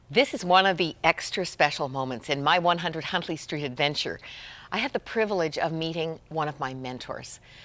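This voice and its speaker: Her voice very deep and low, a woman talks at a moderate pace with ordinary pitch variation. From Canada. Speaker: TV host. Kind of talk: interview. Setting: studio. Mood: warm, smiling. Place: studio. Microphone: lapel.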